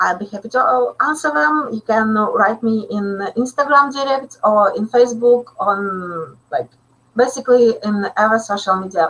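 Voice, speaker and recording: A woman speaks at a fairly slow pace with a Russian accent. Her fairly high voice has lively intonation. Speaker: still life photographer. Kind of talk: webinar Q&A. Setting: live online webinar. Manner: halting, many fillers.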